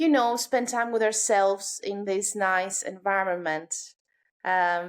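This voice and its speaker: A woman with a Greek accent and medium pitch, at a very slow pace with ordinary pitch variation, on a very clean recording with a silent background. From Greece, island of Kos. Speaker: yoga instructor. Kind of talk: podcast interview.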